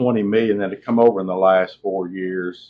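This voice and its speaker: A man's flat, monotone delivery. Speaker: podcast co-host. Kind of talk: casual chat.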